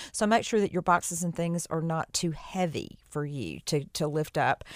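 At a moderate pace, a woman speaks in a plain, everyday voice at a fairly low pitch, on a very clean recording with a silent background. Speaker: professional organizer and estate sale coordinator. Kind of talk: radio interview.

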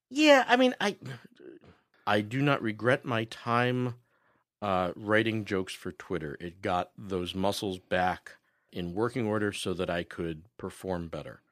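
A man in a plain, everyday voice speaks at a fairly slow pace with a fairly low pitch and ordinary pitch variation, on a very clean recording with a silent background. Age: 40s. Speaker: comedian and podcaster. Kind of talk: casual chat. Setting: studio.

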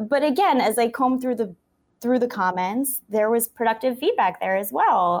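A woman speaks at a moderate pace with lively intonation and very even loudness. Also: fairly high pitch for a woman. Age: young. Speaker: food video journalist. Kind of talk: interview. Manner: animated.

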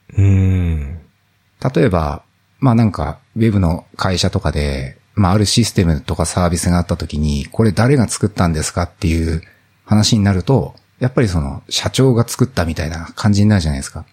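A man with a very deep, low pitch and a somewhat breathy voice speaks at a moderate pace with lively intonation. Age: 40s. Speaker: office worker and indie app developer. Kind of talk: casual chat.

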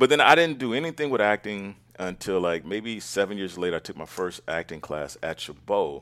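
On a very clean recording with a silent background, a man with a fairly low pitch talks at a fairly quick pace with hardly any pauses, very wide pitch swings and big swings in loudness. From East Oakland, California. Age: 50s. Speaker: stage actor and voice actor. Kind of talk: casual chat.

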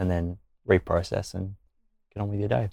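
A man with an Australian accent speaks at a fairly quick pace in a fairly low pitch. The recording is very clean with a silent background, and the sound is dry and close with no echo. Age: 20s. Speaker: law student and youth ambassador. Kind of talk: casual chat.

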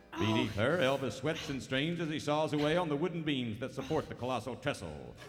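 A man talks at a fairly quick pace with a fairly high pitch. His pitch variation is ordinary, and music plays in the background. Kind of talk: radio theater narration. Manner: dramatic, animated announcer delivery, tongue-in-cheek; formal, brisk, old-time serial narrator.

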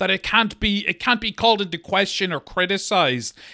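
A man projects a raised voice at a high pitch with a bright, sharp tone. The sound is dry and close, without echo. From Monaghan, Ireland. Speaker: podcast co-host. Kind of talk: casual comedic chat about true crime. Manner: joking, irreverent.

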